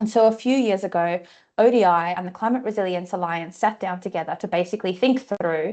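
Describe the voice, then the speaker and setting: A woman with an Australian accent at a fairly quick pace, quiet background. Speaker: climate finance researcher. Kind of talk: webinar presentation.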